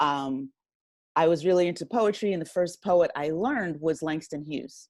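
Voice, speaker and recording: A woman's plain, everyday voice, fairly low in pitch, with an American accent, lively intonation and a moderate pace against a quiet background. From South Jersey, US. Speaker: writer and audio drama producer. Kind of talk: interview.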